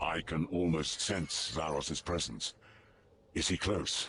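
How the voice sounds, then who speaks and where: Putting on a character voice, a man talks at a fairly slow pace with a very deep, low pitch. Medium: video game. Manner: reverent, intense.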